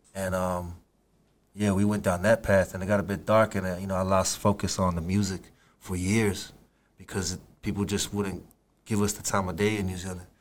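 A man in a Samoan accent talks at a fairly quick pace with a fairly low pitch and monotone, flat intonation. The recording is very clean, with a silent background. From Samoa, Apia. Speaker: rapper. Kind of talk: casual interview.

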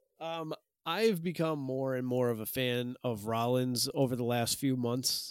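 A man with an American accent speaks at a fairly slow pace in a medium pitch, with ordinary pitch variation and an unremarkable speaking voice. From US Northeast. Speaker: professional wrestler and podcast host. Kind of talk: casual chat.

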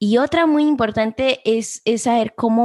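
Recorded dry and close with no echo against a quiet background, a woman speaks with ordinary pitch variation. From Guatemala-born, raised in US. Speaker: podcast host. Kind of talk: interview.

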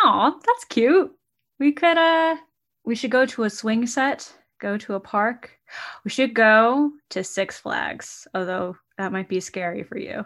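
On a very clean recording with a silent background, a woman speaks in a plain, everyday voice at a fairly high pitch and a fairly slow pace. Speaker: podcast co-host. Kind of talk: casual chat.

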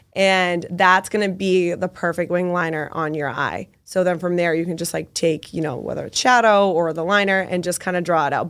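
With an American accent and an unremarkable speaking voice, a woman talks at a fairly quick pace with hardly any pauses. Her pitch is fairly low with ordinary variation, on a very clean recording with a silent background. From Massachusetts, Boston area (Medford). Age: 20s. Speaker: makeup artist. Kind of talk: casual interview with tutorial explanations.

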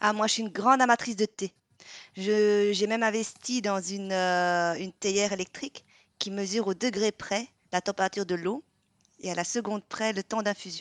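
A woman talks in a normal speaking voice at medium pitch and a moderate pace. The sound is dry and close with no echo, and the background is quiet. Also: fairly even intonation. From Vietnam. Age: 40s. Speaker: pastry podcast co-host, baking show contestant. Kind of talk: casual chat.

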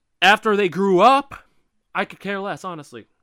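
Recorded very cleanly against a silent background, a man speaks at a moderate pace in a bright, sharp, animated tone, with a dry, close sound and no echo. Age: 20s. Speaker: podcast host. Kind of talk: solo monologue. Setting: home room.

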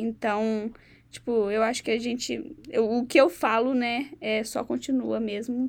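A woman has an unremarkable speaking voice at a fairly high pitch with fairly even intonation. She talks at a fairly slow pace on a very clean recording with a silent background. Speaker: podcast host, university student. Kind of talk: casual interview chat; scripted intro and outro.

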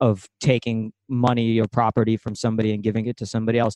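A man talks at a medium pitch with a dark, mellow tone. The background is quiet. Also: dry, close sound with no echo. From Ukraine. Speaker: comedian and sketch writer. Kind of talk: casual chat.

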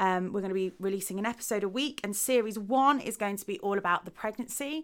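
A woman speaks in an English Midlands accent. Her pitch varies in an ordinary way. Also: very clean recording, silent background. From Midlands, England. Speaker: podcast host. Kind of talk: podcast introduction monologue.

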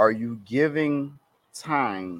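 Lively intonation runs through this man's speech. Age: 20s. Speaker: podcast co-host. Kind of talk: casual chat.

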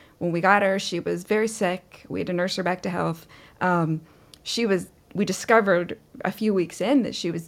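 At a moderate pace, a woman talks in an unremarkable speaking voice of medium pitch with fairly even intonation. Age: 40s. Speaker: pet sitter. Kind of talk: interview.

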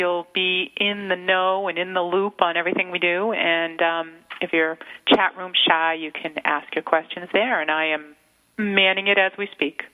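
A woman with an American accent, a normal speaking voice, medium pitch and a moderate pace. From Massachusetts. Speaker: radio co-host. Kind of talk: casual chat. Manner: excitable.

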